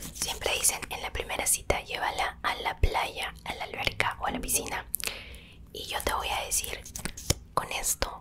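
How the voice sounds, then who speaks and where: The speaker is a woman who whispers. She goes at a fairly slow pace. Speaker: ASMR creator. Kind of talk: ASMR roleplay chat, soft casual talk to viewer. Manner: soft close-mic ASMR speech. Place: home room. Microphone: studio mic.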